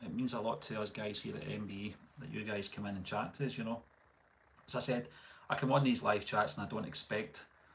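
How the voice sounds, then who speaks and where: Speaking at a fairly quick pace in a Scottish accent, a man with a medium pitch uses ordinary pitch variation. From Scotland. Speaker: movie reaction youtuber. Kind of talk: live stream chat. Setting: live stream.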